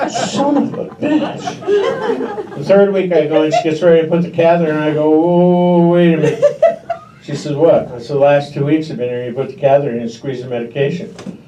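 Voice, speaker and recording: With a Pacific Northwest accent, a man talks at a fairly quick pace in a fairly high pitch with lively intonation, over noticeable background noise and audible room echo. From Washington State. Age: 60s. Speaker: stand-up comedian. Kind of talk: stand-up. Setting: stage with audience.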